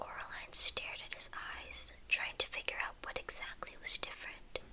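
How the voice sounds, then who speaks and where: A woman whispers over noticeable background noise. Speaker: ASMR creator. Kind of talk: reading aloud. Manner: whispering; slow.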